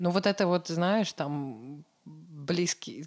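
On a very clean recording with a silent background and a dry, close sound with no echo, a woman uses a normal speaking voice with fairly low pitch and lively intonation. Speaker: interviewer. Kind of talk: interview, casual chat.

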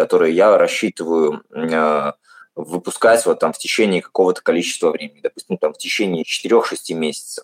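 The sound is dry and close, with no echo. A man does the talking. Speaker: podcast host. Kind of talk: casual interview.

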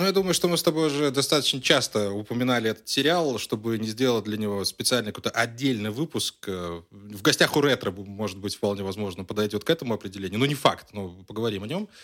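On a very clean recording with a silent background, a man speaks at a very fast pace. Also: medium pitch for a man. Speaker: podcast co-host. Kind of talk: casual chat. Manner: animated; loud.

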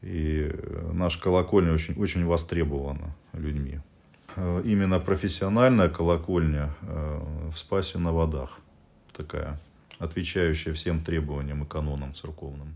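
A man with a very deep, low pitch speaks at a fairly slow pace with fairly even intonation. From Murmansk region, northern Russia. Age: 50s. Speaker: Orthodox priest. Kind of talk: interview.

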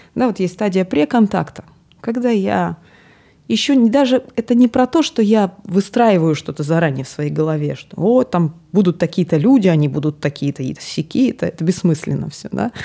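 Her dark, mellow voice sits fairly low for a woman, yet its pitch swings very widely. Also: moderate pace. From Siberia (Novosibirsk). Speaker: podcast co-host and gestalt psychologist. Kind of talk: casual chat.

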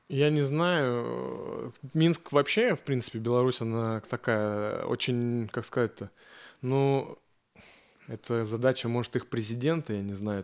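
On a very clean recording with a silent background, a man speaks at a very slow pace, medium in pitch with ordinary pitch variation. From Yaroslavl region, Russia. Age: 30s. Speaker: tattoo artist. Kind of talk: casual chat. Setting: tattoo studio.

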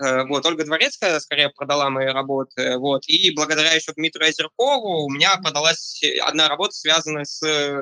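A man's fairly high, bright and sharp voice, fairly even in intonation and fairly quick, with a dry, close sound and no echo. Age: 20s. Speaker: digital artist. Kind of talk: interview. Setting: voice chat. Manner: halting.

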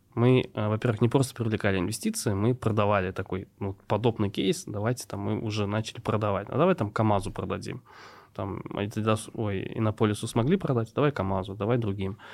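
A fairly quick, unremarkable speaking voice from a man at a fairly low pitch with ordinary pitch variation, on a very clean recording with a silent background. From Tatarstan, Russia (Nurlat district village). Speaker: startup co-founder. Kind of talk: interview conversation.

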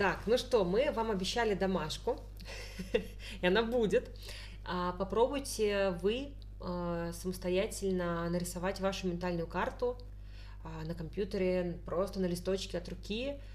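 A woman speaks at a fairly slow pace, leaving long, frequent pauses. Audible room echo is present. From Tolyatti, Volga region, Russia. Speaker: podcast co-host. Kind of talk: casual chat.

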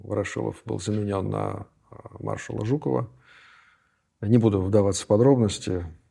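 A man at a moderate pace, with long, frequent pauses. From Leningrad, Russia. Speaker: historian, professor. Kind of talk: interview.

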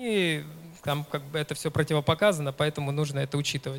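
This man talks at a fairly quick pace in an ordinary speaking voice. His pitch is fairly high, with ordinary pitch variation. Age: 30s. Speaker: ultramarathon runner and running coach. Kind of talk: conference talk. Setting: stage with audience.

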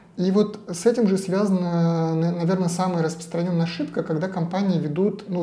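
Against audible room echo, a man speaks at a moderate pace with a high pitch. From Russia, Saint Petersburg. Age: 40s. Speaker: digital agency founder and CEO. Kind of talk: podcast interview.

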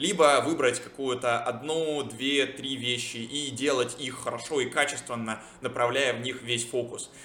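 Amid noticeable background noise and audible room echo, a man at a medium pitch speaks with fairly even intonation. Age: 20s. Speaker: podcaster and product manager. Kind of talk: solo monologue vlog.

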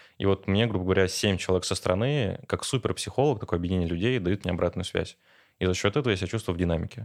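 A man with a very deep, low pitch talks at a very fast pace with very even loudness, on a very clean recording with a silent background. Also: ordinary pitch variation. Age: 20s. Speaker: business coach and entrepreneur. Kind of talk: casual interview chat.

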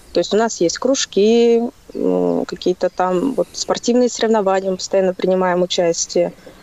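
A woman's unremarkable speaking voice, medium in pitch, with ordinary pitch variation at a moderate pace. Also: very even loudness. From Russia, Kaluga region village. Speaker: caller. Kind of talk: casual phone chat.

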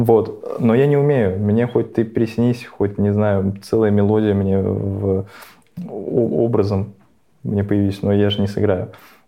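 This man talks at a very slow pace with a fairly low pitch. His intonation is fairly even, and his loudness stays very even. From Russia, Nizhny Novgorod. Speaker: podcast co-host. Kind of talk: casual chat.

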